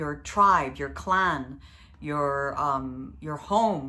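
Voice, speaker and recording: A woman talks at a very slow pace, and audible room echo surrounds her voice. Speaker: astrologer. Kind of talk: astrology video monologue. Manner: hesitant, many fillers.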